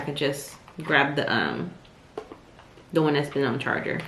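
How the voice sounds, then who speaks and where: Audible room echo and noticeable background noise accompany the woman as she speaks. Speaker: lifestyle vlogger. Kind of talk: casual vlog. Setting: at home. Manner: soft-spoken.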